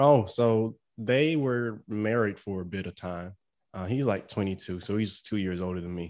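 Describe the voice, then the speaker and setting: This man has an ordinary speaking voice at a fairly low pitch. His pace is moderate, with ordinary pitch variation. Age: 20s. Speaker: family podcast co-host. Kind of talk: casual chat.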